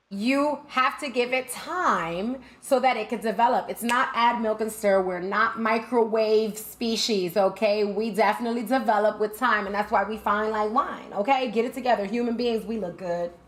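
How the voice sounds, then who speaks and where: A woman speaks in an animated tone with an American accent, her pitch fairly high with ordinary variation. She keeps a moderate pace with hardly any pauses over noticeable background noise. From New York, Brooklyn. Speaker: gaming streamer. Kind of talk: live stream talk.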